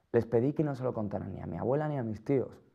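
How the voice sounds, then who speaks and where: Medium pitch and ordinary pitch variation in a man's speech. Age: 20s. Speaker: person living with HIV. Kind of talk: scripted testimony.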